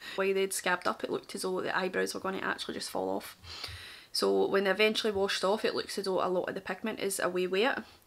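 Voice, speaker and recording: Speaking at a very fast pace, a woman talks in a strong Glaswegian accent. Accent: thick Glaswegian. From Scotland, Glasgow. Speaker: makeup artist. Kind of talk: tutorial and story time. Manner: casual, chatty.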